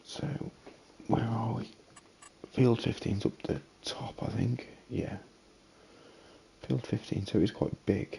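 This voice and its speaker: A man with a British accent speaks at medium pitch with ordinary pitch variation. His pace is very slow, with long, frequent pauses over noticeable background noise. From Britain. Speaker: video game streamer. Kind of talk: gameplay commentary. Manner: casual, thinking aloud.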